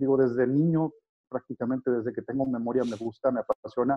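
The man's intonation stays fairly even as he rattles along very fast at a medium pitch. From northern Mexico, Saltillo. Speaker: sports journalist. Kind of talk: interview.

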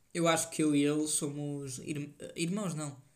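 A man with a European Portuguese accent speaks very slowly in a fairly high voice. His intonation stays fairly even, and audible room echo surrounds him. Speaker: solo podcaster. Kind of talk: casual solo monologue. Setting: home desk.

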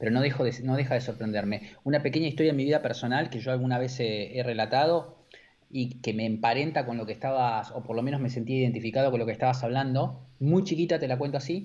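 A man speaks very fast with an Argentine accent. His pitch sits in the medium range, with ordinary variation. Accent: Rioplatense Argentine Spanish. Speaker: advertising creative director. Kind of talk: casual interview chat. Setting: live-streamed video call.

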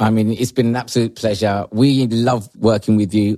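A man speaks with a fairly low pitch and a dark, mellow tone. His intonation stays fairly even. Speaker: podcast co-host. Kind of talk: interview.

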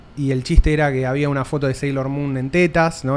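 Intonation stays fairly even while the words come at a very fast pace. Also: man. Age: 30s. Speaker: podcast host. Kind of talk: casual interview chat. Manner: casual.

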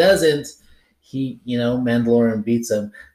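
With a normal speaking voice, a man talks at a moderate pace, his medium pitch varying in an ordinary way. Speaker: podcast host. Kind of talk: casual chat. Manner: excitable.

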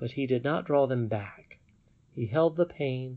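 The pitch shifts in an ordinary way as the speaker reads in a natural reading voice.

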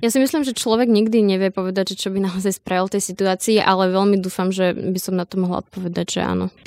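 At a very fast pace with hardly any pauses, a woman speaks at medium pitch with fairly even intonation in a dry, close sound with no echo. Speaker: protest organizer. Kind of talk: interview.

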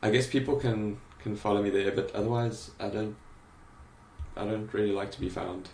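A man with a fairly low pitch talks at a moderate pace, leaving long, frequent pauses, with audible room echo. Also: fairly even intonation. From South Africa, Cape Town. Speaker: graphic designer and creative director. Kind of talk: interview conversation. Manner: hesitant, many fillers.

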